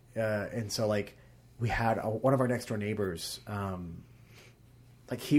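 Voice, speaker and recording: A man with a medium pitch, a somewhat breathy voice, and a fairly quick pace. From Arkansas. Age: 20s. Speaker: stage actor. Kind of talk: casual chat. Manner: animated.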